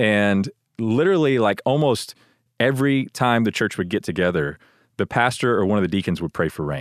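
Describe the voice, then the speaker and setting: A man with an American accent uses an ordinary speaking voice, fairly low in pitch, with lively intonation and a fairly quick pace. The background is quiet, and the sound is dry and close with no echo. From Texas, Houston. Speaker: church staff member and father. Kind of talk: casual chat.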